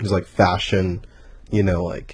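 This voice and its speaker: Soft-spoken and somewhat breathy, a man speaks at a very deep, low pitch. His intonation is monotone and flat. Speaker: music producer and event organizer. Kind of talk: casual chat. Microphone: too quiet at first.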